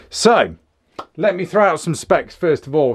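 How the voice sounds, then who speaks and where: This is a man speaking. He has an English accent. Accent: English, mistaken for Australian by viewers. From England. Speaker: firearms reviewer. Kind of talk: product review. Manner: casual, conversational.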